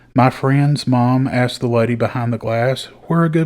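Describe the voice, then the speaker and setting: In a Southern US accent, a man speaks with a relaxed tone at a fairly slow pace, his medium pitch carried by fairly even intonation. The recording is very clean, with a silent background. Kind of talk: storytelling podcast. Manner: folksy, relaxed.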